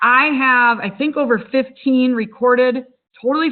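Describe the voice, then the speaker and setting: A woman talks with a Wisconsin accent at a high pitch. Her pace is moderate and her intonation fairly even. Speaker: webinar host, social media business owner. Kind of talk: webinar presentation. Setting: online webinar.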